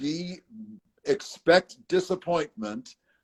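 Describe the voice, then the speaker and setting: A man with an American accent at a very slow pace, full of lively intonation. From United States, raised all over the country. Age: 70s. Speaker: interviewee sharing life story. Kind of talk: interview conversation. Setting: live video stream.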